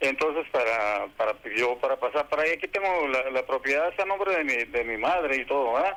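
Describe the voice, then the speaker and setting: Fairly quick and very even in loudness, a man's fairly high voice has a bright, sharp tone and lively intonation. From Tijuana, Mexico. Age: 60s. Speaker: caller. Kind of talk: call-in question to a legal advice radio show. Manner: halting.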